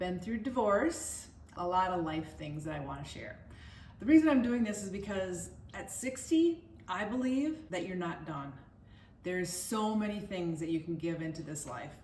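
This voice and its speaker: Speaking in an American accent at a moderate pace, a woman uses a medium pitch with very wide pitch swings. Her loudness swings widely too, and the room echo is audible. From Minnesota, US Midwest. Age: 60s. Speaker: wellness vlogger. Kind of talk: personal vlog monologue.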